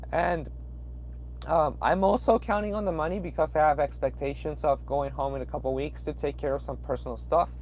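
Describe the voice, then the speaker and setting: Speaking in a Peruvian accent, a man goes at a fairly quick pace. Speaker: truck driver. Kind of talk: live stream chat. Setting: in a truck at a truck stop. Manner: hesitant, many fillers.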